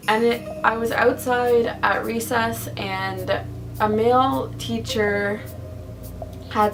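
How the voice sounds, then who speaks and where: Music plays in the background as a woman speaks, with audible room echo. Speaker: lifestyle vlogger. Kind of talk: casual vlog monologue. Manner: rambling, casual.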